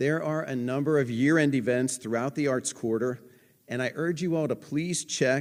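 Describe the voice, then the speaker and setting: A man's unremarkable speaking voice at medium pitch and moderate pace, fairly even in intonation, in a very clean recording with a silent background. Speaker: museum director. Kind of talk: event introduction speech.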